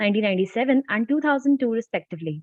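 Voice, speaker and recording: A soft-spoken woman. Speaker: student conference anchor. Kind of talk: reading aloud a speaker introduction.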